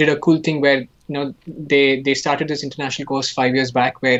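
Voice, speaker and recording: A speaker talks at a fairly quick pace with an Indian accent. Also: man. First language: Hindi. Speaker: animation artist and student. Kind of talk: casual chat during live painting demo. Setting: live stream.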